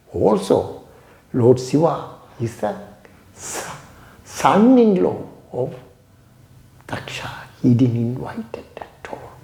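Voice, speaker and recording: Over noticeable background noise and audible room echo, a man talks at a very slow pace with long, frequent pauses and very wide pitch swings. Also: medium pitch for a man. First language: Tamil. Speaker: yoga teacher. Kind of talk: storytelling lecture.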